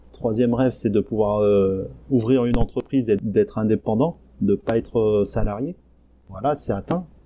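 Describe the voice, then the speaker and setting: A man speaks at a moderate pace in a fairly low pitch. His pitch varies in an ordinary way. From France, Isère (rural, near Lyon). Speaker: Korean adoptee, blogger. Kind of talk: interview testimony. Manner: hesitant, many fillers. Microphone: crackling sound during interview.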